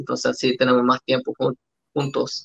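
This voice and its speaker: A man speaks at a medium pitch with a bright, sharp tone. The pace is moderate and the sound dry and close with no echo. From Australia (Salvadoran family). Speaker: father. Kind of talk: casual chat. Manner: halting.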